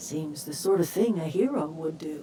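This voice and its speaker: A woman puts on a raspy character voice pitched very deep and low, speaking at a moderate pace over clear background noise. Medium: video game. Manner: folksy, motherly.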